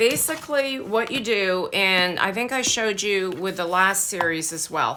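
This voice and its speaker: Noticeable background noise sits behind a woman who talks at a fairly slow pace with ordinary pitch variation. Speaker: craft tutorial youtuber. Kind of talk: tutorial. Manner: casual, halting with fillers.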